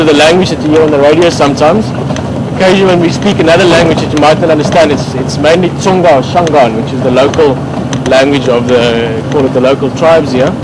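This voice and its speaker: A man with an Afrikaans South African accent talks at a very fast pace and a fairly high pitch. The room echoes audibly, and background noise is noticeable. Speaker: safari guide. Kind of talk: live commentary. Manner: casual, halting.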